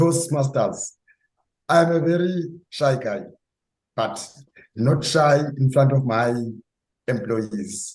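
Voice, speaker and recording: This man's voice sits at a medium pitch, somewhat breathy, with lively intonation. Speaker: club member. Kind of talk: short personal introduction. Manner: halting.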